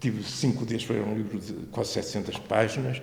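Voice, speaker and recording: With audible room echo, a man speaks at a moderate pace in a fairly low pitch, his voice showing vocal fry. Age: 70s. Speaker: retired librarian and local historian. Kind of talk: interview. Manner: halting.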